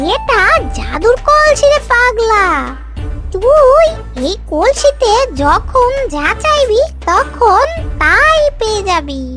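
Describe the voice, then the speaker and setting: A cartoonish character voice at an extremely high pitch speaks at a very slow pace while loud music plays in the background. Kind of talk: cartoon fairy-tale acting. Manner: cackling, addresses others rudely as tui.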